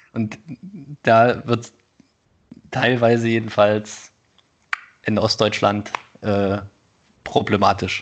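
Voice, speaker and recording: This man talks at a very slow pace with long, frequent pauses and big swings in loudness. His fairly low pitch stays in a monotone, flat intonation. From Thuringia, eastern Germany. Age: 30s. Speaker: podcast co-host. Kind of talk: casual conversation.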